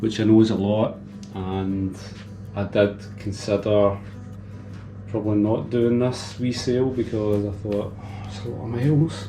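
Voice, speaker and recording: A quiet man with a Scottish accent, fairly low pitch and monotone, flat intonation, at a fairly slow pace with long, frequent pauses and big swings in loudness, audible room echo and music in the background. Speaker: motorcycle vlogger. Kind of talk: casual vlog. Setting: home garage.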